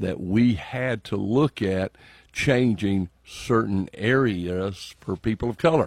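A man with a Southern US accent speaks very slowly at a fairly low pitch with ordinary pitch variation. The background is quiet. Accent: Southern US (Georgia). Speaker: state legislator. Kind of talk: radio interview. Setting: radio studio.

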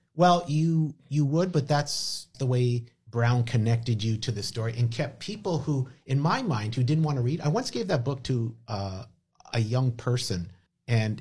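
At a fairly slow pace, a man speaks at a medium pitch with a dark, mellow tone, somewhat breathy and with ordinary pitch variation, in a very clean recording with a silent background. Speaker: podcast host. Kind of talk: casual podcast chat, host-led. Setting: studio. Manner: animated, jokey.

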